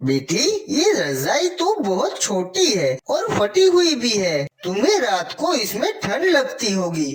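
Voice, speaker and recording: This is a cartoonish character voice at a fairly high pitch. It moves at a fairly slow pace. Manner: polite, gentle.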